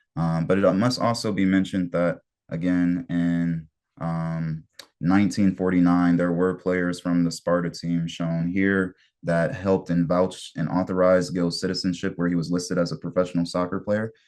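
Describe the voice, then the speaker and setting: A man with a Detroit accent speaks at a very deep, low pitch and a moderate pace. His intonation is monotone and flat against a quiet background. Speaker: soccer community organizer presenting history. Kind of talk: online history presentation.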